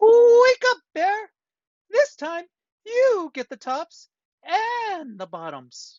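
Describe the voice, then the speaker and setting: This put-on character voice is squeaky and extremely high in pitch. It moves at a very slow pace with long, frequent pauses. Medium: read story. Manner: friendly, smooth-talking.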